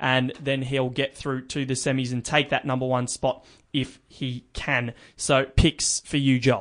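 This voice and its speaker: A man's flat, monotone delivery sits at a medium pitch and moves along fairly slowly. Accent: Australian. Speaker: podcast host. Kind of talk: news reading; casual chat. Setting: studio.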